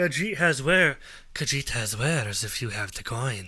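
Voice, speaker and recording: A man puts on a raspy character voice at medium pitch and a moderate pace, in a very clean recording with a silent background. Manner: imitation of a game character.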